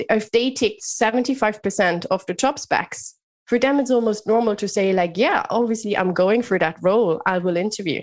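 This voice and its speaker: At a moderate pace and with hardly any pauses, a woman with a fairly high pitch and ordinary pitch variation speaks against a quiet background. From Germany, Bavaria. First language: German. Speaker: leadership mentor and business founder. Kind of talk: podcast interview.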